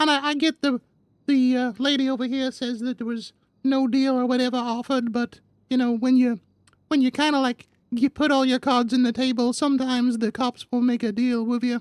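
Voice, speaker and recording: A female-sounding, put-on character voice with a fairly high pitch moves at a fairly quick pace. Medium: game stream. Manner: rambling, filler-heavy, casual.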